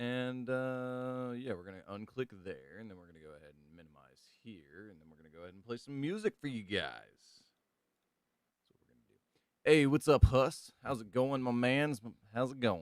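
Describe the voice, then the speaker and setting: Loud and at a medium pitch, a man speaks at a moderate pace with lively intonation. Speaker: gaming streamer. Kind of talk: casual live stream chat.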